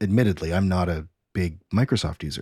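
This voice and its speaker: A man speaks at a fairly quick pace in a very deep, low voice that is somewhat breathy. The sound is dry and close with no echo, on a very clean recording with a silent background. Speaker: podcast co-host. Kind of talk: casual chat.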